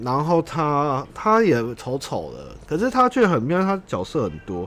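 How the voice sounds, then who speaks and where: A man's pitch rises and falls over a very wide range as he talks fairly slowly. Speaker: livestream podcast host. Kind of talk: casual livestream chat. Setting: home livestream.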